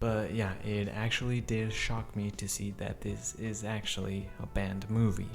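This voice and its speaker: A man speaks at a moderate pace in a fairly low voice, quietly. Music plays behind him, and the room adds audible echo. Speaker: YouTube movie reviewer. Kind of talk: movie review. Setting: home recording with neighbor next door. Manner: lowered, quiet voice.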